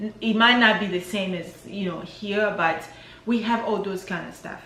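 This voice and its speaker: A woman speaks with an African accent. Audible room echo and noticeable background noise fill the recording. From DR Congo, Kinshasa. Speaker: vlogger. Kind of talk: casual vlog monologue.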